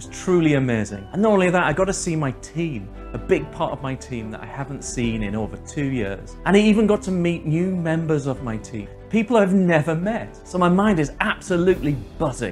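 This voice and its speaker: Faint music plays in the background as the speech moves at a fairly quick pace. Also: man. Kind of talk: casual storytelling to camera. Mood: upbeat, laughs often. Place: home room. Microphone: lapel.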